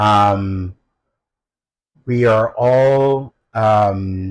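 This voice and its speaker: On a very clean recording with a silent background, the voice shows ordinary variation in pitch. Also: man. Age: 60s. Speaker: dancer and choreographer. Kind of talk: interview. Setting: Los Angeles. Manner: hesitant, many fillers.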